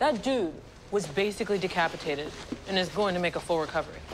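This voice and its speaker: A woman talks at a very fast pace. Noticeable background noise runs underneath. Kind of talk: scripted drama dialogue. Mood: upbeat, teasing, curious. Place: garage.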